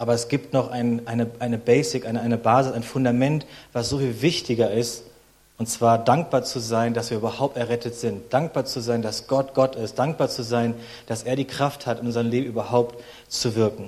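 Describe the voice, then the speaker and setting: Monotone, flat intonation defines this man's delivery. His voice sits at a medium pitch. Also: moderate pace. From Berlin, Germany. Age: 30s. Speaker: guest preacher. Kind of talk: sermon.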